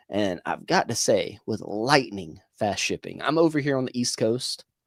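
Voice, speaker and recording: The speaker talks at a fairly slow pace in an animated tone with an American accent, the sound dry and close with no echo. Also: man. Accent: Southern US, self-described hick. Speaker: livestream host. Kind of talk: casual chat. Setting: livestream video call.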